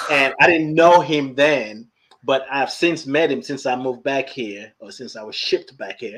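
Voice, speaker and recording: Speaking at a moderate pace with an American accent, a man has a fairly high pitch, ordinary pitch variation and big swings in loudness. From Nigeria. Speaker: podcast host. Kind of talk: casual chat. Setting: livestream.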